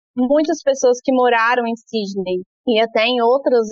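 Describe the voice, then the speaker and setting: Speaking at a moderate pace, a woman uses a normal speaking voice with ordinary pitch variation. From Brasília, Brazil. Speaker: early childhood educator. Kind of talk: interview.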